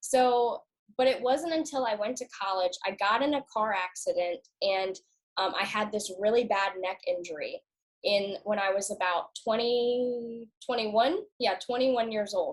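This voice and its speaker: A woman's fairly high, ordinary speaking voice at a moderate pace with ordinary pitch variation. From US South, Norfolk, Virginia. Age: 20s. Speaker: customer sharing health story. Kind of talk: casual interview.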